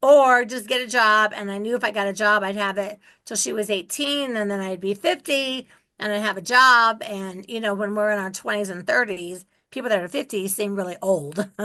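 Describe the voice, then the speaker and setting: At a moderate pace, a woman talks in a bright, sharp tone with ordinary pitch variation. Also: medium pitch for a woman, quiet background. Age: 60s. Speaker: real estate investor. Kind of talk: interview.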